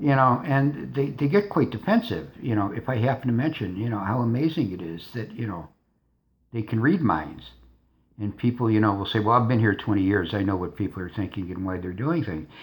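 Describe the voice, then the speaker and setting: Speaking at a fairly quick pace, a man with a medium-pitched, somewhat breathy voice uses lively intonation. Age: 60s. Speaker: vlogger. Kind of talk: casual monologue. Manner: halting.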